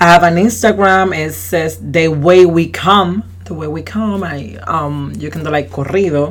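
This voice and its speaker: Someone speaks with a Spanish accent, with hardly any pauses. There is noticeable background noise. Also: fairly slow pace. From Puerto Rico. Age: 20s. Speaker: community activist. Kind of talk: casual interview.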